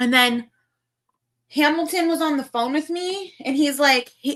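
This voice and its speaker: Speaking in a Valley Girl accent, a woman uses a raised, projected voice with a bright, sharp tone, ordinary pitch variation and a fairly slow pace. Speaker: livestreamer. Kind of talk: casual chat.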